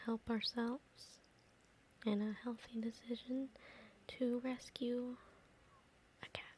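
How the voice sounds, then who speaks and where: Whispering and soft-spoken, a woman talks in a calm tone at a very slow pace with long, frequent pauses, and noticeable background noise can be heard. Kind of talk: ASMR soft-spoken talk. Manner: soft-spoken, whispered, calm.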